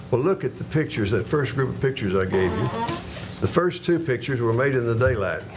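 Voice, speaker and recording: A man with a medium pitch speaks in a western Kentucky accent. Noticeable background noise runs under his voice. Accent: western Kentucky Southern US. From western Kentucky, Paducah area. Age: 70s. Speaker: retired schoolteacher speaking at public comment. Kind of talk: public comment at city meeting. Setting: city commission meeting. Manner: halting, with frequent fillers.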